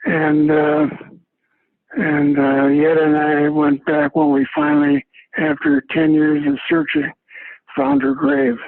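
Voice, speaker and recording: A man with an American accent speaks at a very slow pace in a fairly high pitch, using a monotone, flat intonation, very even loudness, and long, frequent pauses. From US Midwest, Minneapolis. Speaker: retired doctor, resident. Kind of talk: interview. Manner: halting.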